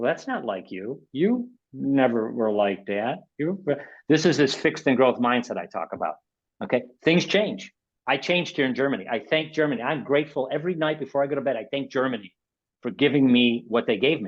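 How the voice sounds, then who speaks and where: Using a Chicago accent, a man speaks at a fairly quick pace with lively intonation. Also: medium pitch for a man. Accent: Chicago American. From Chicago, South Side. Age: 60s. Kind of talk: webinar talk. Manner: animated, repetitive self-corrections.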